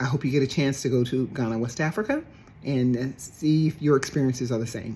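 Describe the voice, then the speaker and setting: A woman with an American accent, very deep and low in pitch, somewhat breathy with a dark, mellow tone, fairly quick in pace and ordinary in pitch variation. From US South, Dallas, Texas. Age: 60s. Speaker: traveler on a heritage trip. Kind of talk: personal testimony. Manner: halting, many fillers.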